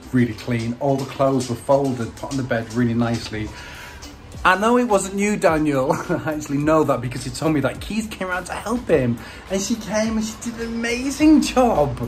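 Music plays in the background. A man talks over it at a fairly quick pace. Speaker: vlogger. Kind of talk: casual vlog chat. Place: home room. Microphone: phone near.

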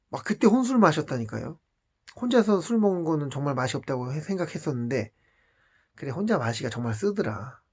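Speaking at a fairly quick pace, a man's fairly high, somewhat breathy voice makes very wide pitch swings. The recording is very clean, with a silent background. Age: 40s. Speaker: vlogger. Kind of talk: personal storytelling monologue. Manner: casual, conversational.

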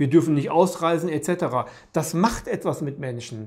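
A man with a fairly high pitch talks at a moderate pace, his intonation lively against a quiet background. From Germany. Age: 50s. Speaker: peace activist; interviewee, commentator. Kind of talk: monologue to camera; interview answer. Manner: halting, with frequent repetitions. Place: home room.

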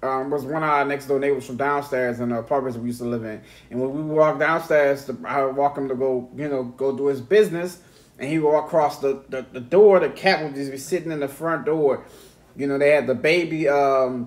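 Speech moves along at a fairly quick clip. The intonation is fairly even. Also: man. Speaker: podcast host. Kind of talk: casual podcast storytelling. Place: home room. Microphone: studio mic.

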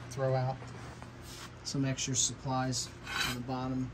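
Loud background noise surrounds a man talking at a fairly slow pace. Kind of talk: casual vlog chat. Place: garage. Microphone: phone near.

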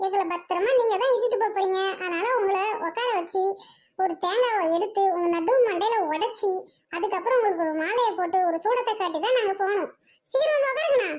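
A cartoonish character voice at a moderate pace with ordinary pitch variation. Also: woman, extremely high pitch for a woman. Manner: loud, bossy.

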